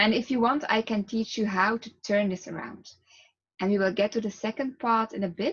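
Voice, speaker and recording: Speaking at a moderate pace with a Flemish Belgian accent, a woman uses a fairly high, somewhat breathy voice with ordinary pitch variation. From Belgium. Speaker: relaxation therapist. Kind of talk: guided relaxation talk. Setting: video to camera.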